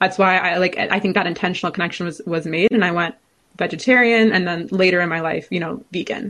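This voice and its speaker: The speaker uses a plain, everyday voice with an American accent, ordinary pitch variation and a fairly quick pace. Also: woman. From California. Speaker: food studies researcher. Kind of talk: interview.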